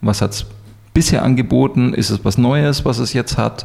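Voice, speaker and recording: Keeping a moderate pace, a man talks with ordinary pitch variation. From Munich, Bavaria. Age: 40s. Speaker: business coach. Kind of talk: interview. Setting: in person, Munich.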